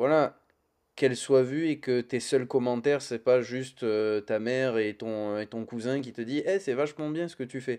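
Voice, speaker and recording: A man's medium-pitched, dark, mellow voice at a fairly slow pace, with ordinary pitch variation and a quiet background. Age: 30s. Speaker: YouTuber, comics channel. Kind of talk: casual chat. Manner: hesitant, many fillers.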